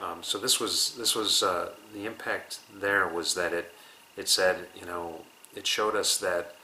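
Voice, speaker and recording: Speech comes at a fairly slow pace with an American accent. Noticeable background noise runs underneath. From United States. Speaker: interviewee. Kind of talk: interview.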